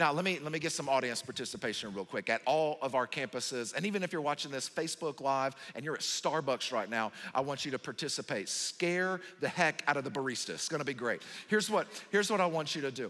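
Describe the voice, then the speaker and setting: Very fast and bright, sharp in tone, a man speaks at a fairly high pitch with lively intonation. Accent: Southern US. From US South. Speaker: pastor. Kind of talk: sermon.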